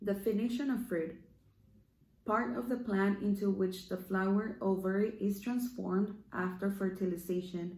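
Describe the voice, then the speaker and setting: Someone with a Spanish accent speaks at a fairly slow pace with ordinary pitch variation. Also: woman. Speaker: online devotional speaker. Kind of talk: devotional talk. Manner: halting.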